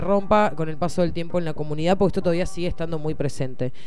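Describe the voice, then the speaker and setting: Music plays in the background and room echo is audible. The pitch varies in an ordinary way. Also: woman. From Argentina, Bahía Blanca. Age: 30s. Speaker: podcast host. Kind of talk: casual interview.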